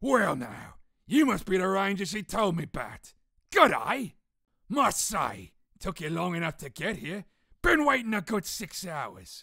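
This is a put-on character voice at a middle pitch. It sounds raspy. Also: moderate pace. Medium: dub.

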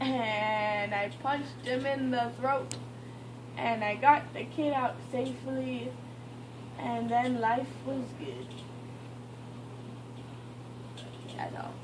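Speaking at a very slow pace with long, frequent pauses, a woman can be heard over noticeable background noise. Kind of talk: silly, drowsy casual chat. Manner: drowsy, slurred, drugged post-surgery speech. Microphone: phone near.

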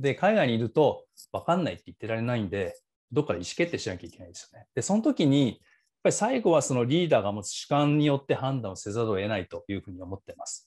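A man speaks very fast at a fairly high pitch, with very wide swings in pitch and big swings in loudness. The background is quiet. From Japan. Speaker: author and business school instructor; business school instructor. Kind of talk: seminar talk. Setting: video call. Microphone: earbuds.

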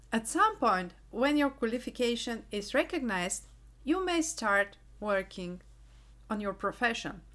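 With a Bulgarian accent, a woman speaks at a moderate pace, her fairly high voice carrying lively intonation. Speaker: engineering YouTuber, quality manager. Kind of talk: vlog monologue.

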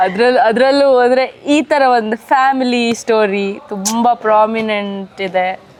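Woman with a Mangalorean accent, fairly high pitch, ordinary pitch variation and very even loudness. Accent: Mangalorean Kannada. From Mangalore, coastal Karnataka. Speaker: TV serial actress. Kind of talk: casual interview.

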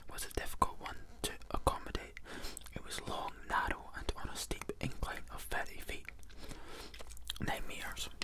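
Whispering and soft-spoken, the voice keeps a moderate pace with long, frequent pauses. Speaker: book reviewer. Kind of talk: casual read-aloud commentary. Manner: soft whispered reading voice. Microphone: phone near.

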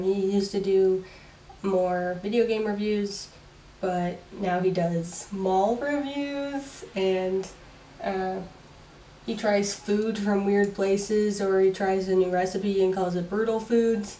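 The speech comes at a very slow pace in a relaxed tone. Noticeable background noise sits behind it. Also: woman, medium pitch for a woman, fairly even intonation. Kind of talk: casual talk to camera. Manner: relaxed, chill.

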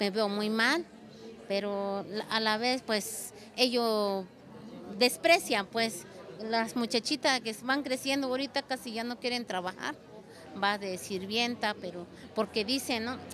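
Against crowd noise in the background, the speaker goes very slowly with long, frequent pauses and ordinary pitch variation. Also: woman, fairly high pitch for a woman. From Oaxaca, Mexico. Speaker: textile artisan; interviewee. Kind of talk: interview. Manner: halting, with fillers. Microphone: handheld.

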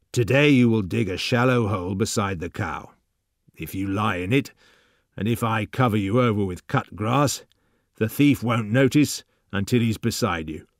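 Quiet and growling, a man does a put-on character voice at a medium pitch and moderate pace. The recording is very clean, with a silent background. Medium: read story. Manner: slow, quiet, cold.

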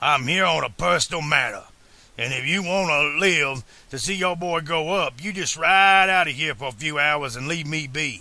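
A man puts on a drawling character voice at fairly high pitch. His pace is moderate, with ordinary pitch variation. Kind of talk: audiobook character acting. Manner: low-key, drawling, threatening.

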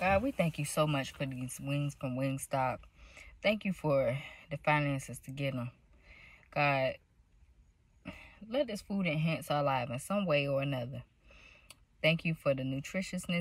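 A woman with a very deep, low pitch speaks at a moderate pace, using ordinary pitch variation and long, frequent pauses. The sound is dry with no echo, and the background is quiet. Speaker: food vlogger. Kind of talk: casual vlog chat. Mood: relaxed, playful. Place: car. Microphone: phone near.

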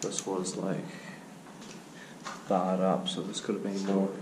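A man keeps a moderate pace while noticeable background noise runs underneath. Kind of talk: casual exploration commentary. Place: hall. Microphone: phone near.

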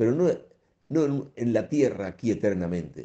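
A man's dark, mellow tone with a Spanish accent and very wide pitch swings, set against a quiet background. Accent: Spanish (Spain). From Spain. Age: 70s. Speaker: priest radio host. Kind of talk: radio catechesis talk; sermon-like radio talk. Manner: conversational, with fillers and repetitions. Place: studio. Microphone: studio mic.

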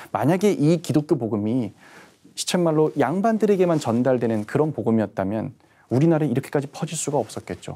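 Fairly high for a man, dark and mellow in tone, with very wide pitch swings at a fairly quick pace. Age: young. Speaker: history writer; history writer lecturer. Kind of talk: lecture. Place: studio. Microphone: lapel.

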